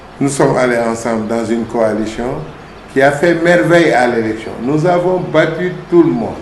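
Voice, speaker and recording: The recording has audible room echo. Noticeable background noise can also be heard. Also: man. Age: 60s. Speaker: town mayor, politician. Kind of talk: interview.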